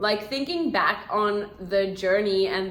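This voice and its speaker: A woman speaks in a bright, sharp tone. Audible room echo surrounds her voice. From South Africa. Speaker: vlogger and English teacher. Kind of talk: casual Q&A vlog chat. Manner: chatty, informal.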